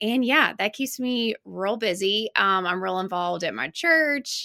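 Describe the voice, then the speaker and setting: A woman with an Alabama accent speaks at a fairly slow pace in a fairly high pitch, her tone bright and sharp, the sound dry and close with no echo. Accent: Southern US (Alabama). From US South, Alabama (Birmingham). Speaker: business owner, parenting website founder. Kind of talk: interview.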